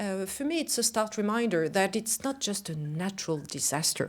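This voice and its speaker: With a French accent and lively intonation, a woman speaks at a moderate pace on a very clean recording with a silent background. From France. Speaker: global company CEO. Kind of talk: conference speech. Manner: halting, many fillers.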